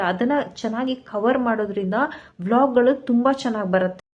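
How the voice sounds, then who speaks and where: Her high-pitched voice carries fairly even intonation as this woman talks. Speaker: YouTube vlogger. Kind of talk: motivational tutorial to camera. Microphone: phone camera mic, no external mic.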